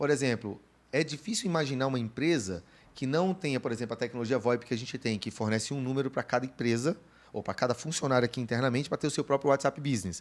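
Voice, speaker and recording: Talking at a very fast pace, this man has a medium pitch and ordinary pitch variation. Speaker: podcast co-host. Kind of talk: casual chat.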